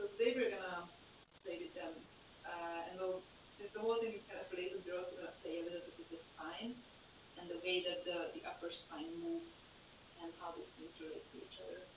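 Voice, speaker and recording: The speaker moves at a fairly quick pace with fairly even intonation and long, frequent pauses, and audible room echo is present. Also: woman, medium pitch for a woman. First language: German. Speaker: yoga teacher. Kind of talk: guided yoga class. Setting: live stream. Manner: hesitant, many fillers.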